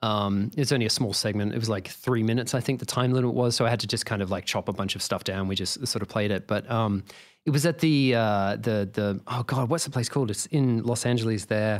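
A man speaks with an Australian accent at a fairly quick pace, with hardly any pauses, medium pitch and ordinary pitch variation. The recording is very clean, with a silent background. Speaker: video game composer and sound designer. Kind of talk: casual interview chat.

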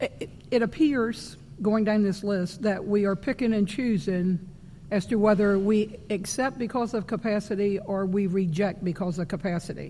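Her tone is dark and mellow, at a medium pitch. The woman keeps a moderate pace with ordinary pitch variation. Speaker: school board member. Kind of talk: public meeting discussion.

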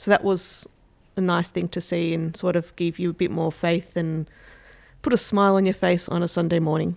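In an Australian accent, a woman speaks at a fairly low pitch and a moderate pace, her intonation monotone and flat. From Melbourne, Australia. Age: 40s. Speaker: stay-at-home mother, community member. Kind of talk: interview testimony.

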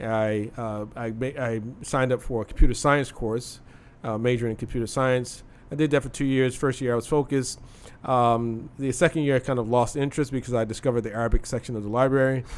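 With an American accent, a man talks at a very fast pace. His intonation stays fairly even. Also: medium pitch for a man. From US, Philadelphia and Chicago. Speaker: Islamic scholar. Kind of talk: casual interview.

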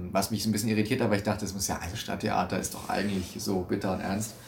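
A fairly low-pitched, somewhat breathy man speaks at a very fast pace in a monotone, flat intonation, with audible room echo. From Stuttgart, southwestern Germany. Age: 20s. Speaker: stage actor. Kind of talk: interview. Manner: hesitant, many fillers.

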